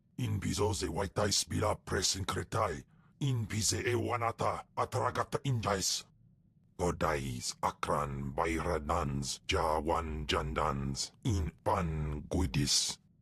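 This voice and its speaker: A man puts on a guttural character voice with a very deep, low pitch, speaking at a fairly slow pace. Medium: video game. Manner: raging, guttural alien speech.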